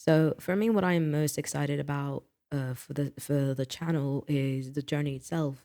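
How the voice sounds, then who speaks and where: Someone with a British accent speaks at a moderate pace. The recording is very clean, with a silent background. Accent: British-sounding accent learned from BBC. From French-speaking country, not UK. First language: non-English mother tongue. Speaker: booktuber. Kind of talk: casual vlog talk. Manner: halting with many fillers.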